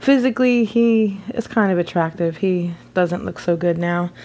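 With a fairly low pitch, this woman has a normal speaking voice. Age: 30s. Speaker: podcast host. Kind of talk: solo monologue. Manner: casual, with filler words.

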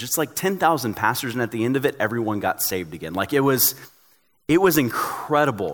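A man talks at a very fast pace with an American accent and lively intonation. The recording is very clean, with a silent background. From Tennessee, US South. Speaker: pastor. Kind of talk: sermon.

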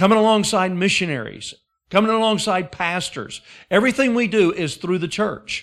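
Speaking with an Alabama accent at a moderate pace, a man uses a high pitch with ordinary variation, recorded very cleanly against a silent background. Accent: Southern US (Alabama). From Alabama, US South. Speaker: guest preacher. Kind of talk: sermon. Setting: church service with congregation.

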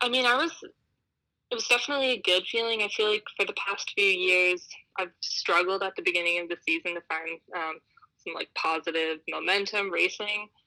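A bright, sharp voice with lively intonation and an American accent at a moderate pace, on a very clean recording with a silent background and a dry, close sound with no echo. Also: woman, medium pitch for a woman. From United States. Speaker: alpine ski racer. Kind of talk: interview. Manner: hesitant, many fillers.

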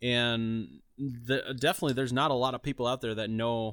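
On a very clean recording with a silent background, a man speaks at a moderate pace and a medium pitch. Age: 30s. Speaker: podcast host. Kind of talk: casual chat.

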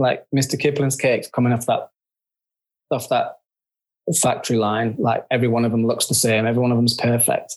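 With a northern English accent, the speaker moves at a fairly quick pace yet leaves long, frequent pauses, keeping a monotone, flat intonation and very even loudness. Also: man, medium pitch for a man. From northern England. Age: 50s. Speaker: photographer. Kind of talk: casual interview chat.

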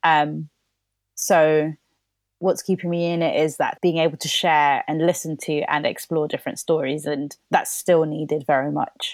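A woman with a London accent speaks at a moderate pace. Her voice has a very deep, low pitch and a monotone, flat intonation. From London, England (born in Colombia). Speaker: playwright. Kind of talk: casual chat.

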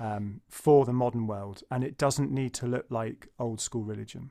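A man's medium-pitched speech unfolds fairly slowly, its pitch rising and falling in an ordinary way. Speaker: podcast host. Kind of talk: interview conversation. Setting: video call. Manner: halting.

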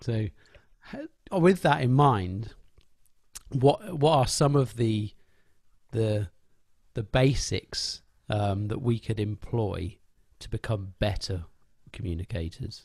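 Speaking at a very slow pace with long, frequent pauses, the voice is somewhat breathy, with lively intonation and big swings in loudness, in a very clean recording against a silent background. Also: man, medium pitch for a man. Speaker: podcast host. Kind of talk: casual interview conversation.

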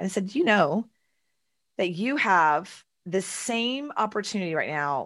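With a Texan accent, a woman speaks in a fairly low pitch at a fairly slow pace, her intonation lively. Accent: Texan American. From Texas, Houston. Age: 40s. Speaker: entrepreneur and author. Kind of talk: casual interview. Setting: video call.

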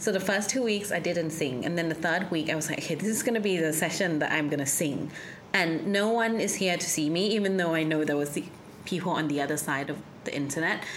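Over noticeable background noise, a woman with a fairly low pitch talks at a very fast pace with very even loudness. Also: ordinary pitch variation. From Thailand, schooled in UK from 11. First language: Thai. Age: 30s. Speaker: sound healer. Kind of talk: casual interview chat.

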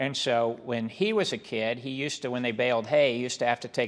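A man with an American accent and an unremarkable speaking voice, medium-pitched, with ordinary pitch variation and a fairly quick pace. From Kansas, small Mennonite farm town. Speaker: business executive. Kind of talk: interview.

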